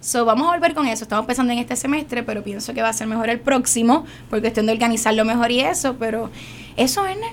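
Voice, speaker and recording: At a very fast pace and fairly high pitch, a woman speaks with ordinary pitch variation over noticeable background noise. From Puerto Rico, San Juan. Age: young. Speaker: actress. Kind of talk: radio interview.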